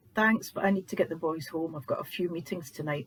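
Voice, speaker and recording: A fairly quick pace in a Scottish accent. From Scotland. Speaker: author reading own book. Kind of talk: audiobook narration.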